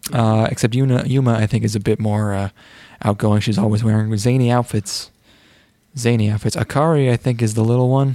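A man speaks at a fairly quick pace and medium pitch in an ordinary speaking voice, with fairly even intonation and very even loudness. The recording is very clean, with a silent background. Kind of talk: casual chat. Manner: casual, joking.

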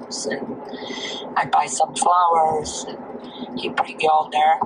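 Speech comes from a woman at a very slow pace. Behind her, background noise is noticeable. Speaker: host's mother. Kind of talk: casual chat. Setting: video call.

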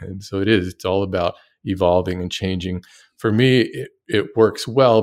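A man speaks at a fairly low pitch and a fairly slow pace, in a plain, everyday voice. The recording is very clean, with a silent background. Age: 50s. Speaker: woodworking YouTuber. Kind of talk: casual chat.

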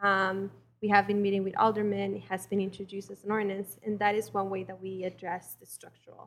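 A woman with a Spanish accent speaks at a very fast pace and a medium pitch. Her intonation is monotone and flat, with big swings in loudness. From Mexico. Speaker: community organizer. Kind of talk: personal testimony. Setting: church with congregation.

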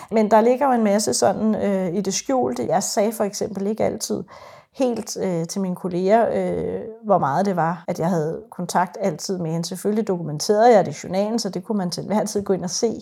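With vocal fry and a dark, mellow tone, a woman speaks at medium pitch and a moderate pace. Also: ordinary pitch variation. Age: 40s. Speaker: psychiatric nurse. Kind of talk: interview testimony. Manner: hesitant, many fillers.

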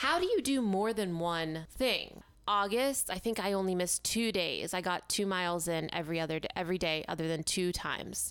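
In an ordinary speaking voice with very even loudness and ordinary pitch variation, the speaker talks at a fairly quick pace with hardly any pauses. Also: woman, medium pitch for a woman. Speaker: mental health podcast co-host. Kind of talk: casual chat.

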